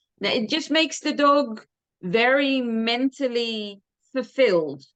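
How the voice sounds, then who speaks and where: A woman at a high pitch with ordinary pitch variation, talking at a fairly slow pace. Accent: Dutch. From Netherlands. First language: Dutch. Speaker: dog trainer. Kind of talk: interview.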